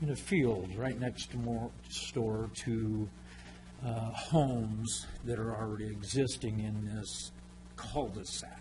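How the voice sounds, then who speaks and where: A man with a fairly low pitch and vocal fry speaks at a very slow pace. His intonation stays fairly even, and audible room echo fills the space. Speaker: resident speaking at public comment. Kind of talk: public comment. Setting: council chambers. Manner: loud.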